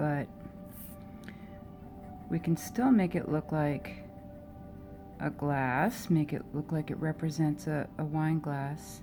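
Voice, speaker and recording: A woman with an American accent speaks in a relaxed tone at a very deep, low pitch. Music plays in the background. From Oakland, California. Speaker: artist. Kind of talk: casual narration while drawing, stream of consciousness. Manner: relaxed, thinking aloud.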